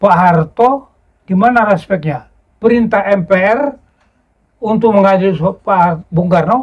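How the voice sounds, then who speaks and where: Pitched high, a man speaks at a fairly slow pace, with ordinary pitch variation and very even loudness. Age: 80s+. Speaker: former special forces soldier and history writer. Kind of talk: interview.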